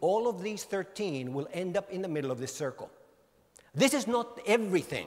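Speaking in a Finnish accent, a man uses a high pitch and lively intonation. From Finland. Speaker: mobile industry author and speaker. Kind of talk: conference keynote talk. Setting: stage with audience. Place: hall. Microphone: handheld.

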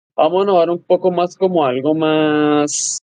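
A man with a high pitch and dark, mellow tone speaks at a fairly slow pace with ordinary pitch variation. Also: quiet background. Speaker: podcast co-host. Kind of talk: interview. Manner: halting. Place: home room.

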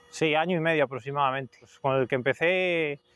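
This man has a fairly high pitch and talks at a moderate pace. His intonation is fairly even, and the sound is dry with no echo. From Spain, Cantabria (Suances); Cantabria, Spain. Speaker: hoof trimmer. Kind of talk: interview testimonial. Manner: hesitant, many fillers. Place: farm machine.

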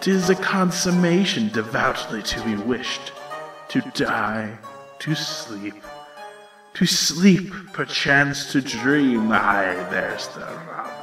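A man's cartoonish character voice, fairly high in pitch, at a very slow pace over clear background music. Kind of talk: dramatic Shakespeare soliloquy.

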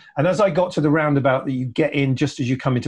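A man talking at a very fast pace, fairly high-pitched, with ordinary pitch variation over a quiet background. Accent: English. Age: 60s. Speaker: electric vehicle consultant. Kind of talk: casual chat.

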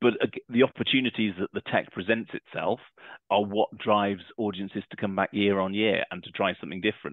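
Fairly quick and fairly low-pitched, a man talks with fairly even intonation in a dry, close sound with no echo.

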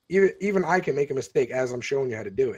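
Lively intonation marks this man's delivery. He talks at a very fast pace. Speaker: gaming YouTuber. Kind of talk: casual chat. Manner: fast talker.

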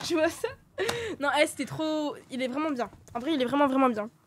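At a moderate pace, a woman speaks at a high pitch with ordinary pitch variation, recorded with a dry, close sound with no echo. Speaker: streamer guest. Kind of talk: casual chat. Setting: live stream.

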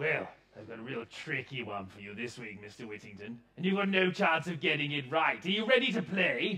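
In a put-on character voice, a man speaks with a fairly high pitch. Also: moderate pace. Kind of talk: pantomime villain comic acting. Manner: sneering, sarcastic.

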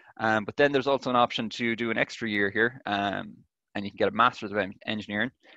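A man talks very fast with an Irish accent, his medium-pitched voice bright and sharp and his intonation fairly even. The background is quiet and the sound is dry, with no echo. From Ireland. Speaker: engineering student. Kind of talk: presentation and Q&A answers. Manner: hesitant, many fillers. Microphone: webcam.

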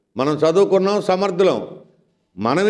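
Over a quiet background, a man speaks at a high pitch with ordinary pitch variation. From Andhra Pradesh. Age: 60s. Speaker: election candidate. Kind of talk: campaign speech. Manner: animated. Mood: accusatory, indignant. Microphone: handheld.

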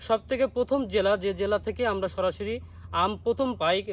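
A man with a high voice for a man and ordinary pitch variation. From Bangladesh, Satkhira district. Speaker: online mango seller. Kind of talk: sales pitch.

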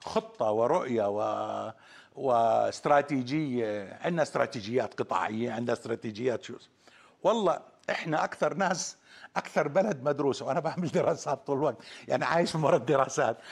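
Against a quiet background, a man with vocal fry talks at a moderate pace with lively intonation. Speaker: guest. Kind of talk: interview answer. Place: studio. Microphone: lapel.

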